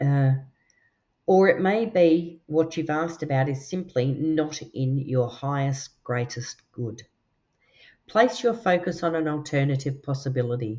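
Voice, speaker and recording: Her very deep, low voice carries lively intonation as this woman speaks fairly slowly with an Australian accent. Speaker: tarot and oracle card reader. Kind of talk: card reading. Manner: relaxed, chatty with fillers.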